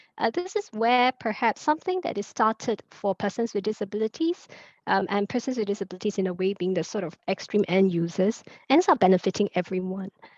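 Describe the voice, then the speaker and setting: At a fairly quick pace, a woman with a Chaoshan accent speaks at a medium pitch with ordinary pitch variation, the sound dry and close with no echo and the background quiet. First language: Teochew. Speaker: moderator. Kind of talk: panel moderation. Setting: online event.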